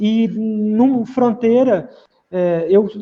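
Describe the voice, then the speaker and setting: A man's high-pitched, dark and mellow voice at a very slow pace, with ordinary pitch variation. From Minas Gerais, Brazil. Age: 30s. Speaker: pianist and singer-songwriter. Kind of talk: interview. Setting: video call. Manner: halting.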